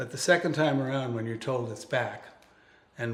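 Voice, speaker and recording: A somewhat breathy voice with an upstate New York accent comes through with audible room echo. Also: man. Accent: American, upstate New York. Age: 70s. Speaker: cancer survivor and author. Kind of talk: interview. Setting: guest's home.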